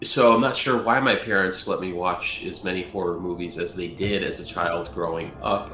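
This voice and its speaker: Music plays in the background as the speaker talks with hardly any pauses, and the room echo is audible. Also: man. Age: 40s. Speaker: sports podcast co-host. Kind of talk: casual chat.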